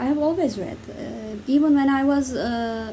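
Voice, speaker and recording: Noticeable background noise behind a woman's speech with ordinary pitch variation. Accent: Turkish. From Turkey. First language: Turkish. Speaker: book reviewer. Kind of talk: casual talk to camera.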